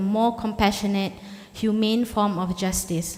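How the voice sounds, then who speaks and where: A woman with a fairly high pitch speaks at a moderate pace in monotone, flat intonation over noticeable background noise. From Malaysia. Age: 40s. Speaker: lawyer. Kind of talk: formal speech.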